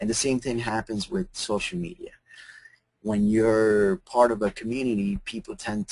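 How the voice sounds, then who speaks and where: An unremarkable speaking voice moves at a fairly slow pace with lively intonation, in a dry, close sound with no echo. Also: man. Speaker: social media marketing presenter. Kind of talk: webinar presentation. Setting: webinar.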